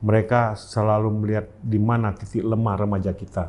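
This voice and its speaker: The man's voice sits at a fairly low pitch. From Aceh, Indonesia. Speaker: army officer; interview guest. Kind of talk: interview. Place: meeting room. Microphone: lapel.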